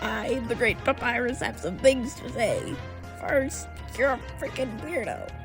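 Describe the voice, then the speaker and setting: A put-on character voice at a moderate pace over loud music in the background. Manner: pompous, boastful.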